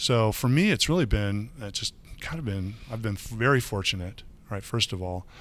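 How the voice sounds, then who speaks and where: With an American accent, a man talks at a moderate pace in a plain, everyday voice with ordinary pitch variation, captured on a very clean recording over a silent background. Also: medium pitch for a man. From Michigan. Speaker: water utility director. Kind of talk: interview. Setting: conference.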